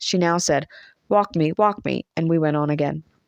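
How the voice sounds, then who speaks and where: A woman's fairly low-pitched voice in a Southern US accent, with fairly even intonation and a dry, close sound with no echo. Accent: American Southern. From Southern United States. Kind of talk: audiobook reading.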